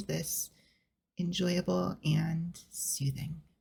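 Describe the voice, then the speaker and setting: Somewhat breathy, a woman speaks with a fairly low pitch and a dark, mellow tone. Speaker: VTuber / ASMR streamer. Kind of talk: ASMR soft-spoken chatting. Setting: home recording with amateur equipment. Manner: soft-spoken, slow, relaxing.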